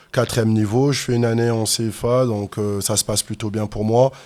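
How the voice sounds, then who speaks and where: A man talks at a fairly quick pace in a medium pitch. His intonation is flat and monotone. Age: 30s. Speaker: fitness and MMA coach. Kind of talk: interview, personal story. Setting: podcast studio.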